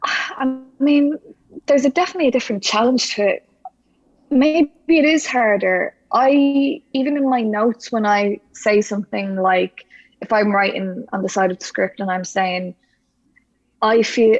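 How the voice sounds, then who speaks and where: A woman talks in a Dublin accent with a fairly high pitch and lively intonation. Her moderate pace is captured dry and close, with no echo. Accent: Irish, Dublin city. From Ireland. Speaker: actress. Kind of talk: interview conversation. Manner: halting, many restarts.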